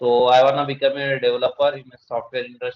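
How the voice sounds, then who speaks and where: A man speaks with a Telugu accent and a fairly high pitch. His pace is fairly quick and his intonation fairly even. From India, Telangana. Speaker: job seeker practicing English. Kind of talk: conversation practice. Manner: halting.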